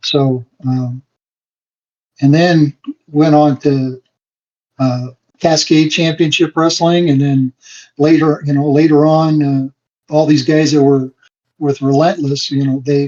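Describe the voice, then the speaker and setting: A man with an American accent, fairly high pitch and flat, monotone intonation, at a very slow pace with long, frequent pauses. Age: 60s. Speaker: wrestling referee. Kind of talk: podcast interview. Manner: halting, many fillers.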